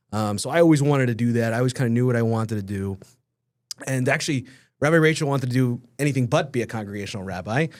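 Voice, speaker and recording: A man with a New York accent speaks at medium pitch with ordinary pitch variation. The recording is very clean, with a silent background. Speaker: rabbi. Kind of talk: casual chat. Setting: studio. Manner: fast; loud.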